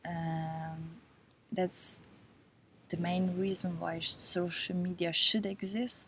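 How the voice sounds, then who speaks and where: A woman's fairly low, monotone voice with a non-native accent, a very slow pace, long and frequent pauses, and big swings in loudness. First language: not English. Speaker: yoga vlogger. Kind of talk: personal vlog monologue. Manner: halting.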